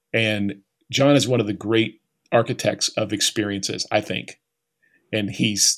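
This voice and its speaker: In a very clean recording with a silent background, a man with an American accent speaks in a plain, everyday voice at a medium pitch with fairly even intonation. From Oklahoma. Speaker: leadership author. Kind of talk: interview.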